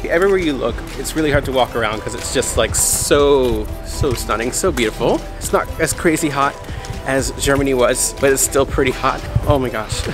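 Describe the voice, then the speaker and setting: Over clear background music, a man speaks at a moderate pace with a dry sound and no echo. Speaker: travel vlogger. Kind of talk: casual vlog chat. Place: street. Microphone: phone near.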